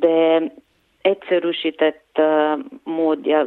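Speaking at a very slow pace, this woman has a Bulgarian accent. Her pitch is very deep and low. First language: Bulgarian (speaking Hungarian). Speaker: puppet and set designer. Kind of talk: interview. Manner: hesitant, many fillers.

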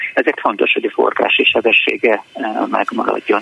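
Noticeable background noise runs through the clip. The speech moves at a fairly quick pace. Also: man. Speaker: library director. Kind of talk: radio interview. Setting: phone call.

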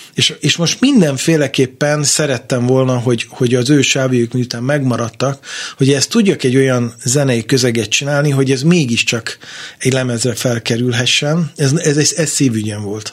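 In a plain, everyday voice, a man speaks at a moderate pace with medium pitch and fairly even intonation. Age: 50s. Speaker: jazz guitarist and radio presenter. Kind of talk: interview. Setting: studio.

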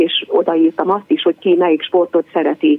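Lively in intonation, a woman speaks at medium pitch against noticeable background noise. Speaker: PE teacher. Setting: phone call.

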